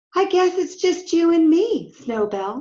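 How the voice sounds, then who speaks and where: Putting on a squeaky character voice, a woman speaks at a fairly slow pace with an extremely high pitch. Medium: read story. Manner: earnest, eager.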